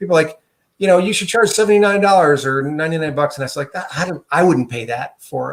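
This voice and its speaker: A man delivers his words very fast, his pitch varying in an ordinary way. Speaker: software tool developer. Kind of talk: tutorial.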